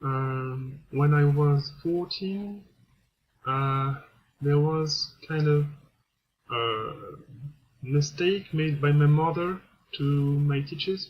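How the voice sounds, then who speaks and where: In a French accent, a man with a fairly high, somewhat breathy voice speaks very slowly with long, frequent pauses and fairly even intonation. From France. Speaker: vlogger. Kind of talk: personal testimony. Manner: halting, many hesitations.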